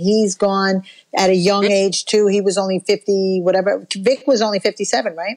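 Fairly quick and monotone, a woman speaks with flat intonation. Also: quiet background. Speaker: podcast co-host. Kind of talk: casual chat. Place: home room. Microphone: earbuds.

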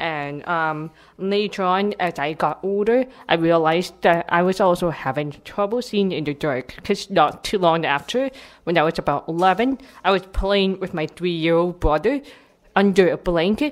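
A woman speaks at a moderate pace with a fairly low pitch. Her intonation is lively. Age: 20s. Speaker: panelist, teacher with deafblindness. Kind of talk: personal testimony speech. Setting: stage with microphone and audience. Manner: animated.

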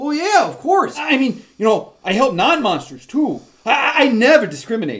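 A man does a cartoonish character voice at an extremely high pitch. His pace is moderate. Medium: puppet show. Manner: friendly, hesitant, lots of "you know".

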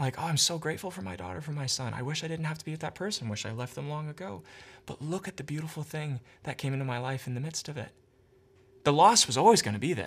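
Lively intonation moves through a somewhat breathy voice. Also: man. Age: 30s. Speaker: podcast host, therapist; podcast host. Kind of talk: casual interview. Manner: halting. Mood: thoughtful, warm. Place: home room.

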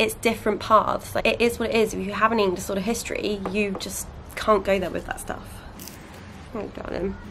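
Noticeable background noise sits behind the voice. A woman talks at a fairly quick pace with fairly high pitch. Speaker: vlogger. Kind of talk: casual vlog. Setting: at home and garden.

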